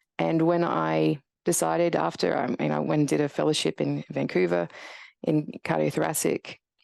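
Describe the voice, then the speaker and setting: Against a quiet background, a woman speaks at a very even loudness. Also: moderate pace. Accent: strong Australian. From Australia. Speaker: radiologist and professor. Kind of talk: podcast interview.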